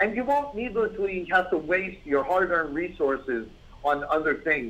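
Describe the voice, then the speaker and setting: With a New York accent, this man speaks at a moderate pace in a high pitch, his tone bright and sharp and his intonation lively. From New York, the Bronx. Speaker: business consultant. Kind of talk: webinar presentation.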